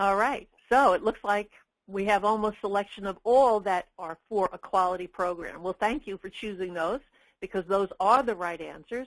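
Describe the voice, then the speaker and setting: A normal speaking voice from a woman, medium in pitch with fairly even intonation at a fairly slow pace, in a dry, close sound with no echo. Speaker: work-based learning educator and webinar presenter. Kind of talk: webinar presentation. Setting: webinar.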